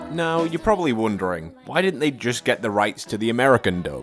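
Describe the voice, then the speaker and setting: A man with a British accent talks at a fairly quick pace. His pitch swings very widely, in a dry, close sound with no echo. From Britain. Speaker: anime YouTuber. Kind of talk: video essay commentary. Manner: casual, humorous.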